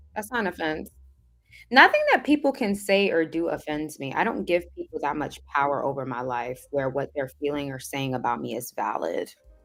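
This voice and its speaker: A woman speaks with a Southern California accent. Her pace is moderate. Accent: sounds like a Valley girl. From Caribbean. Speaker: livestream host answering viewer comments. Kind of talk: casual livestream chat reading comments.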